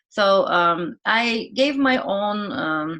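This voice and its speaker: A woman with a non-native accent, a bright, sharp tone and lively intonation, in a very clean recording with a silent background. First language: not English. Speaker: vlogger. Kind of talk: casual vlog talk to camera. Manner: halting, with fillers.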